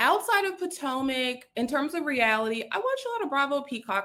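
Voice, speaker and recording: Talking with hardly any pauses, a woman uses a high pitch, lively intonation and a bright, sharp tone, with a slight Southern US accent. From US South, South Carolina. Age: 30s. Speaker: content creator. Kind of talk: casual chat.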